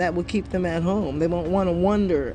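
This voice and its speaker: A normal speaking voice from a woman, fairly low in pitch. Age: 50s. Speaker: podcast host. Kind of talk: casual monologue.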